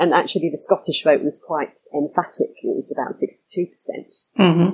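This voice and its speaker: The voice has a southern English accent and a dark, mellow tone. It moves at a moderate pace with fairly even intonation. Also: woman. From London suburbs. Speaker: trademark attorney. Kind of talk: interview.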